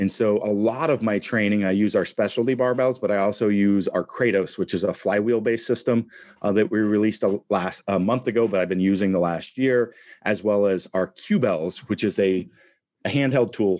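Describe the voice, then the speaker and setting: A man with a normal speaking voice and fairly low pitch talks at a moderate pace, his intonation fairly even and his loudness very even. The recording is very clean, with a silent background. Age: 40s. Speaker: strength athlete and entrepreneur. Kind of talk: casual interview.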